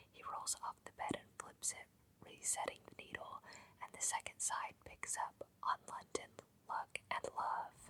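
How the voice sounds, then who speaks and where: Someone whispers at a moderate pace. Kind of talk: whispered ASMR book reading. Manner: whispered, soft-spoken.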